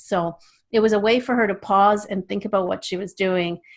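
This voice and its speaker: A woman's plain, everyday voice in a Canadian accent, medium-pitched, with fairly even intonation. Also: very clean recording, silent background. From Canada. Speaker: children's author and speaker. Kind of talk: interview.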